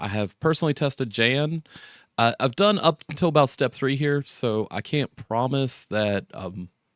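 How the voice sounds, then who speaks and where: An ordinary speaking voice at a moderate pace with lively intonation, in a very clean recording with a silent background. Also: man. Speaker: tech tutorial YouTuber. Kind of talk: tutorial. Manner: casual with many fillers.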